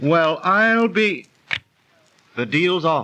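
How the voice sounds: Using a put-on character voice, a man speaks at a very slow pace with a bright, sharp tone, a fairly high pitch and lively intonation.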